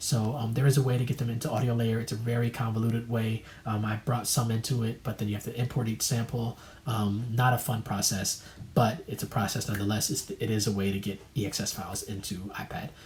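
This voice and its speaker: Words come out at a very fast pace with a somewhat breathy quality. The intonation stays fairly even. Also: man, medium pitch for a man. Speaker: music producer and YouTuber. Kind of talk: tutorial. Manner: hesitant, many fillers.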